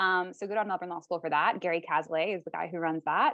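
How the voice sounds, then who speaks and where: In a normal speaking voice, a woman holds a medium pitch with fairly even intonation. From Canada. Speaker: lawyer and co-founder. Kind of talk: interview.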